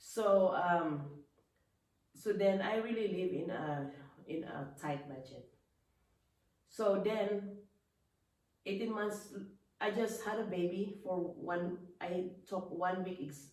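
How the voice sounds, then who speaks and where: Amid audible room echo, a woman with a medium pitch speaks very slowly with ordinary pitch variation and long, frequent pauses. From Philippines. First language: Filipino language. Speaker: businesswoman. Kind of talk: casual interview about life story. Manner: halting, with many restarts.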